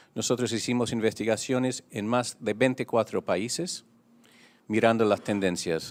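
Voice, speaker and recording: Over a very clean recording with a silent background, a man with a non-native accent speaks at a fairly slow pace. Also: dry, close sound with no echo. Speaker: international union leader. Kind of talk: press conference statement. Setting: press conference.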